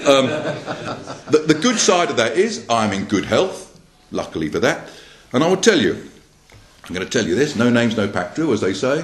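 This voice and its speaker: A man with an English accent at medium pitch, fairly quick pace, very wide pitch swings and long, frequent pauses over noticeable background noise. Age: 60s. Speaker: political party candidate. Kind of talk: political speech to a meeting. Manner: repetitive, hesitant with fillers.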